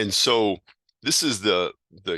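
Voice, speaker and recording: Bright and sharp in tone, a man's voice carries lively intonation at a fairly slow pace, dry and close with no echo over a quiet background. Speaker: teacher of hermetic esotericism. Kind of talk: lecture. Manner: halting.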